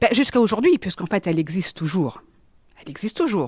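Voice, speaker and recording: In a very clean recording with a silent background and a dry, close sound with no echo, a woman's pitch swings very widely. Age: 50s. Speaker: business consultant and psychic. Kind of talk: interview testimony. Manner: halting, with many repetitions and fillers.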